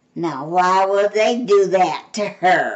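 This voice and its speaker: A woman puts on a character voice of medium pitch. She goes at a very slow pace with lively intonation. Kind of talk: bedtime story. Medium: read story. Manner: earnest, cheerful.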